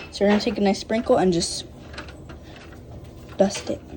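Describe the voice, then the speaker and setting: Noticeable background noise runs beneath a woman talking at a medium pitch. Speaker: home cooking vlogger. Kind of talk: cooking tutorial vlog. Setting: home kitchen. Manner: casual, filler-heavy; talking quietly.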